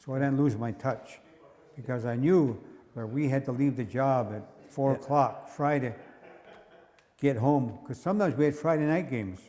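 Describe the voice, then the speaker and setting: The voice has a dark, mellow tone and an American accent, with ordinary pitch variation. It moves at a moderate pace, broken by long, frequent pauses. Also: man, medium pitch for a man. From Onondaga Nation, New York, USA. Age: 80s+. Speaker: former lacrosse player and ironworker. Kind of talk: interview answer.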